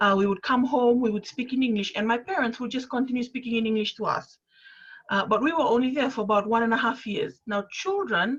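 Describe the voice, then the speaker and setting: This woman has a Fijian accent and a fairly high pitch. She talks at a fairly quick pace with ordinary pitch variation. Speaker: panelist. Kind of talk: panel discussion.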